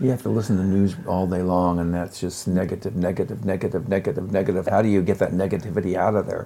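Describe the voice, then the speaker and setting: Hardly pausing at all, a man races along at a very fast pace with a very deep, low pitch, a dark, mellow tone and fairly even intonation. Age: 70s. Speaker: chef and author. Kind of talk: casual chat.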